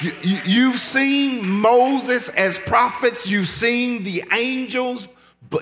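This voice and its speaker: A man speaks in a raised, projected voice. His pace is very slow. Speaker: pastor. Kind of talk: sermon. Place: church. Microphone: podium.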